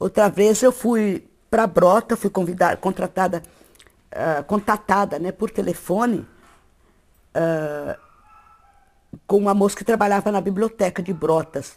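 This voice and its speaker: Pausing long and often, a woman with a medium-pitched voice speaks at a fairly slow pace with ordinary pitch variation. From interior of São Paulo state, Brazil. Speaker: writer. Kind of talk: interview testimony. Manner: halting, with repetitions.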